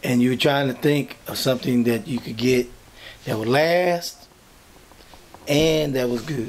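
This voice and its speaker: A man speaks with fairly even intonation. Light background noise is present. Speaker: interviewee. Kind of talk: interview answer. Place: office. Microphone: camera far.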